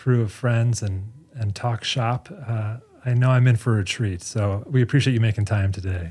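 Fairly even intonation from an ordinary speaking voice at a moderate pace. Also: man, medium pitch for a man. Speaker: podcast host. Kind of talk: scripted narration and interview.

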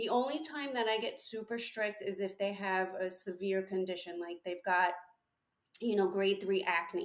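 With an American accent, a woman uses a plain, everyday voice at a medium pitch, with ordinary pitch variation and a moderate pace. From New York. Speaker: licensed esthetician and aesthetics instructor. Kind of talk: casual interview chat. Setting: remote call.

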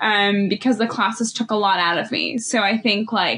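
With an American accent, a woman speaks at medium pitch and a moderate pace. Her intonation is monotone and flat. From Ethiopia, raised in the US from age seven. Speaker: church deacon and reconciliation teacher. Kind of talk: interview testimony.

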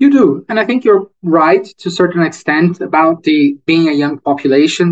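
A man with a Portuguese accent is heard in a dry, close recording with no echo. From Brazil, Rio de Janeiro. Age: 30s. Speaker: economist. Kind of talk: interview.

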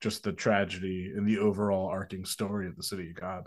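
A man with an unremarkable speaking voice, fairly low in pitch, at a moderate pace against a quiet background. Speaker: guest film discussant. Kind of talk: casual chat.

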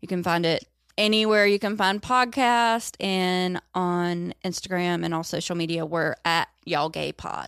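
In a very clean recording with a silent background, a woman with a Southern US accent speaks at a fairly slow pace in a fairly low voice with ordinary pitch variation. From rural North Carolina. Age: 30s. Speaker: comedian. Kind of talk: casual chat.

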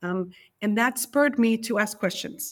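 At a fairly slow pace, a woman talks in an ordinary speaking voice with fairly high pitch. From US, New York City. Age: 50s. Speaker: library curator and author. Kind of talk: interview.

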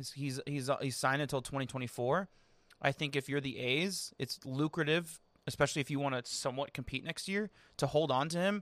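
This man speaks at a fairly quick pace with a fairly high pitch and ordinary pitch variation, recorded very cleanly against a silent background with a dry, close sound and no echo. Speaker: baseball podcast host. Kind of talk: casual chat. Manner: loud; animated.

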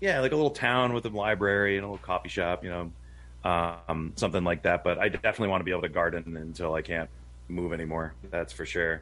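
A man's very deep, low voice with vocal fry, lively intonation and a very fast pace. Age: 40s. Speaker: homesteader. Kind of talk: casual chat.

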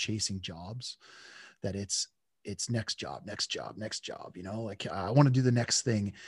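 A man with a Western Canadian accent speaks at a medium pitch and a moderate pace. His pitch variation is ordinary, and the background is quiet. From central British Columbia, Canada. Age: 40s. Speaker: lineman and podcast host. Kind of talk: interview conversation.

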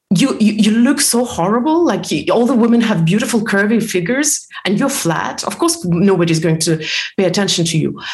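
A woman's medium-pitched voice with very wide pitch swings, a fairly quick pace, hardly any pauses, and very even loudness, amid audible room echo and noticeable background noise. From former Soviet Union. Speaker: personal development author and coach. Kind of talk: podcast interview. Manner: halting, many fillers.

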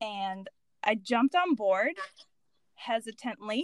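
A woman with an American accent speaks at a fairly slow pace with lively intonation and an animated tone. The sound is dry and close, with no echo. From United States. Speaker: muralist. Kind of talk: casual interview chat. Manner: animated, laughing often.

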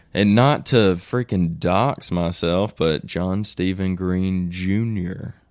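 In a very clean recording with a silent background, a man with an American accent speaks very slowly at a very deep, low pitch with ordinary pitch variation. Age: 20s. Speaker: mountain biker. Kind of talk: casual chat. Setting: studio.

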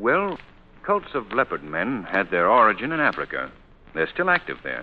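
A put-on character voice from a man, fairly low in pitch, with very wide pitch swings at a moderate pace.

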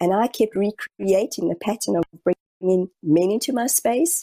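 A woman speaks in a New Zealand accent at a medium pitch with a dark, mellow tone. Her fairly slow delivery sounds dry and close, with no echo. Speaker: spiritual medium. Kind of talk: interview. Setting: video call. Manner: calm.

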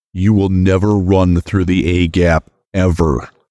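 A put-on character voice moves at a fairly slow pace over a quiet background. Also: man, very deep, low pitch for a man. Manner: deadpan.

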